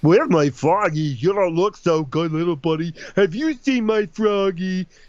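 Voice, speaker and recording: A man doing a put-on character voice, high-pitched, at a moderate pace. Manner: worried, sad.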